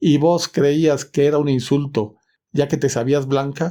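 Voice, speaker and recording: A man speaks at a fairly slow pace with a fairly high pitch. His tone is dark and mellow, on a very clean recording with a silent background. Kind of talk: short story audiobook reading.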